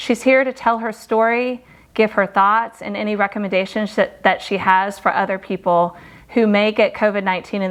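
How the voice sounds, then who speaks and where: A woman speaks at a moderate pace in a plain, everyday voice. Her pitch sits in the middle range and her intonation stays fairly even. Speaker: doctor. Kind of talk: interview host.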